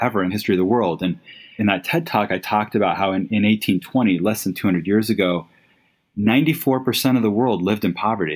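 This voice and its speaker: A man with an ordinary speaking voice talks at a fairly quick pace, his fairly low pitch showing ordinary variation. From US, raised in Latin America. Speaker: company founder and CEO. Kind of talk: interview.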